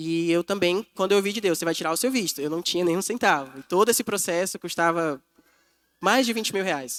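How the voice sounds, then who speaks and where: The sound is dry and close, with no echo. A man speaks at a high pitch and a moderate pace, with ordinary pitch variation. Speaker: missionary preacher. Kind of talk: sermon. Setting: church.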